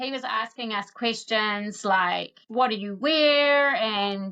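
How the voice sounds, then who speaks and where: A woman with a New Zealand accent speaks with ordinary pitch variation. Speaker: podcast host. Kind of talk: interview conversation.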